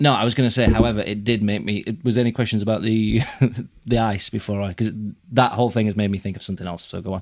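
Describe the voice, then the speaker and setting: A fairly low-pitched man with a Yorkshire accent at a very fast pace. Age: 30s. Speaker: podcast host. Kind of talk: casual chat. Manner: animated.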